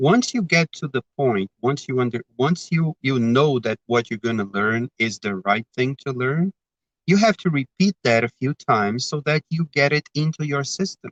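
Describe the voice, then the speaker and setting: A man is speaking here. His intonation is lively, and the sound is dry and close with no echo. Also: medium pitch for a man, moderate pace. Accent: Brazilian. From Brazil. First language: Portuguese. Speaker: spiritist speaker. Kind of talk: talk. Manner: halting.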